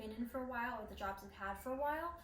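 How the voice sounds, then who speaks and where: A woman with an American accent at a fairly high pitch, ordinary pitch variation and a very fast pace, over noticeable background noise. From Queens, New York City. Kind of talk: casual talk to camera.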